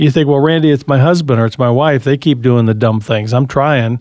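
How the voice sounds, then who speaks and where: This man has an unremarkable speaking voice. His pitch is fairly high, with ordinary pitch variation. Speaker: radio host. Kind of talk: call-in radio show.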